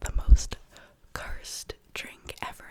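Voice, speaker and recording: A woman whispers over noticeable background noise. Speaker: ASMR creator. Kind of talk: ASMR whisper ramble, casual talk to camera. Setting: close microphone at home studio. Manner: whispered, close-mic, chatty.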